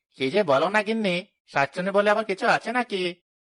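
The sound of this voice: The speaker uses a cartoonish character voice at a middle pitch and a fairly quick pace.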